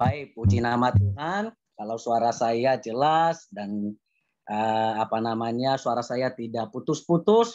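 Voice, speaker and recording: A man at medium pitch with ordinary pitch variation and a very slow pace. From Nias, South Nias (Indonesia). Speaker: preacher. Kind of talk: sermon. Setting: video call. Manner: halting.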